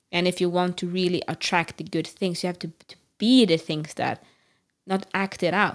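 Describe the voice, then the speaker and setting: A woman with a Norwegian accent speaks at a moderate pace and a fairly low pitch. Her intonation is fairly even, while her loudness swings widely. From Norway. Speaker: podcast co-host. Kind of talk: casual chat.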